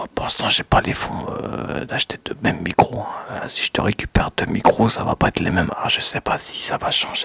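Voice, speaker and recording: Whispering at a fairly quick pace with hardly any pauses, the voice sits over noticeable background noise. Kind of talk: casual talk to camera. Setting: studio, microphone close. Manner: relaxed, chatty.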